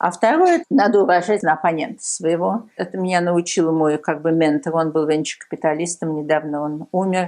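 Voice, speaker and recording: Woman at a moderate pace with fairly low pitch, ordinary pitch variation and hardly any pauses, over a quiet background. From Soviet Union. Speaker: tech entrepreneur. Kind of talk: interview. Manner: hesitant, many fillers.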